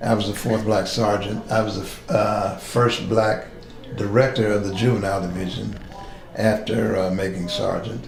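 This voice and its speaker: Against noticeable background noise and audible room echo, a man with an American accent and a fairly low pitch speaks at a moderate pace. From West Virginia (Charleston, East End). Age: 70s. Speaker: retired police captain. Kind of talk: oral history interview. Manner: halting, many fillers.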